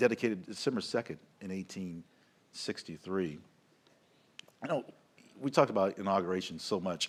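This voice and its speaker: A man with an American accent and a very deep, low pitch, at a fairly quick pace with ordinary pitch variation and long, frequent pauses. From US South. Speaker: capitol tour guide. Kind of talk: live event commentary.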